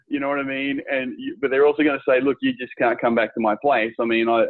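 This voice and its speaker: A man's plain, everyday voice with fairly even intonation at a fairly quick pace. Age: 40s. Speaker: podcast host. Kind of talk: interview.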